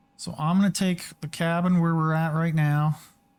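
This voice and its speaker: The speech unfolds fairly slowly on a very clean recording with a silent background. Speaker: flight simulator streamer. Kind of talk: tutorial. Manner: casual.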